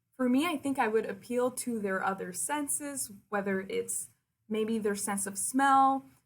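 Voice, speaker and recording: A woman's somewhat breathy, fairly high voice at a very slow pace, with ordinary pitch variation. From Quebec City. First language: French. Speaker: university liaison and communications officer. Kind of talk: presentation to prospective students. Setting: recorded virtual presentation.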